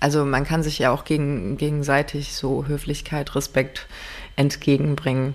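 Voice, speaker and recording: Flat and monotone, a woman speaks in a very deep, low pitch. Her pace is moderate. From Rhineland, Germany. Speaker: podcast co-host. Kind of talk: casual chat.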